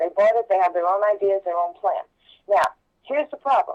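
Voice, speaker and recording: The woman's intonation is lively. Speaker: political candidate. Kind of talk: political interview.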